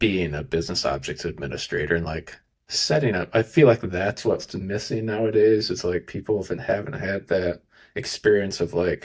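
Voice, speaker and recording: A man with an American accent at a fairly low pitch and moderate pace, ordinary pitch variation, in a very clean recording with a silent background. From rural Iowa, US Midwest. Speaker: podcast host, data engineer. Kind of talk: podcast interview. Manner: casual, filler-heavy.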